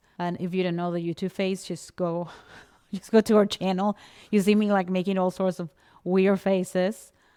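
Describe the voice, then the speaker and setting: Dark and mellow in tone, a woman with a non-native accent and a medium pitch speaks in a flat monotone, recorded dry and close with no echo on a very clean recording with a silent background. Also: moderate pace. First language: not English. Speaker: podcast coach. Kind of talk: casual chat.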